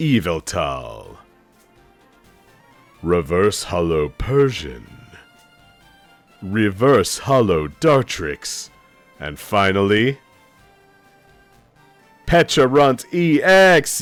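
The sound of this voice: Over faint background music, a man puts on a dramatic character voice at a fairly low pitch, moving very slowly with long, frequent pauses and very wide pitch swings.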